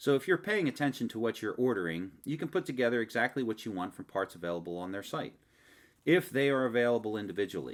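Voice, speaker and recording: With a Philadelphia accent, the speaker's pitch swings very widely in a very clean recording with a silent background. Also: man. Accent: Philadelphia-area. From Delaware County, Pennsylvania. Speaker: hobbyist video maker. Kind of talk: casual narrated product review. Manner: joking, conversational.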